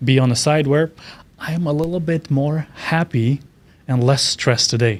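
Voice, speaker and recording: In a very clean recording with a silent background, a man with a Romanian accent speaks with fairly even intonation. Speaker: keynote speaker. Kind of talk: interview.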